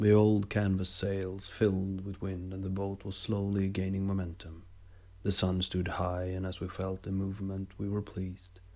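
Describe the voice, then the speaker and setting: A man speaks in a calm tone, with a very deep, low pitch. His tone is dark and mellow, and his intonation is monotone and flat. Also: moderate pace, very clean recording, silent background. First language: not English. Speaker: amateur writer reading own stories. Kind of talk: reading aloud.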